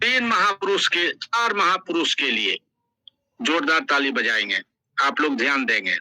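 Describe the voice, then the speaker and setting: In a raised, projected voice, a man with a high pitch swings his pitch very widely while keeping his loudness very even, recorded in a dry, close sound with no echo. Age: 70s. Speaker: event host. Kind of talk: ceremonial welcome speech. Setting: online metaverse event. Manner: enthusiastic.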